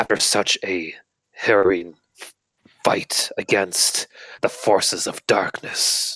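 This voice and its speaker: A put-on character voice from a man, gruff and raspy, fairly low in pitch, at a fairly slow pace. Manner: dramatic, pompous.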